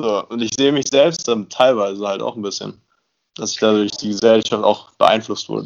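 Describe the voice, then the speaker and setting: The pace is moderate, and the pitch varies an ordinary amount. It is an unremarkable speaking voice. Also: man, fairly low pitch for a man. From Brandenburg village south of Berlin. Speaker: university student. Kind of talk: casual chat.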